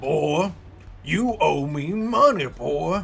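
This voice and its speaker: Clear music plays in the background. Over it, a man speaks in a put-on character voice. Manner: menacing, gruff.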